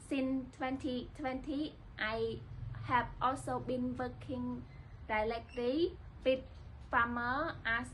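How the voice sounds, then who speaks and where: Speaking very slowly, a woman talks with a Cambodian accent. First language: Khmer. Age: 20s. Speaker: livestock management student. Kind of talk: scripted internship application video.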